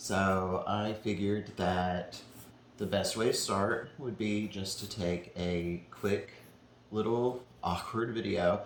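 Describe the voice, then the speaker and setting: A man with a fairly low pitch speaks at a very slow pace, with ordinary pitch variation. Audible room echo surrounds his voice. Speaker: painter. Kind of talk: casual chat.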